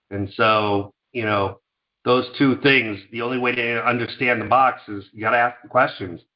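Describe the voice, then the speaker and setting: A man's normal speaking voice of medium pitch, at a moderate pace, with fairly even intonation and big swings in loudness. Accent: American. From New York, Scarsdale suburb. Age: 50s. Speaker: company founder. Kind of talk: interview.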